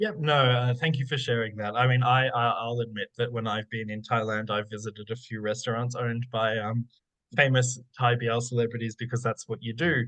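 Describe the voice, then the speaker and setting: A man speaks at a fairly quick pace in a flat monotone, his pitch medium. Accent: Australian. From Australia. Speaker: academic researcher. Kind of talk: Q&A after lecture. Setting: online forum. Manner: hesitant, many fillers.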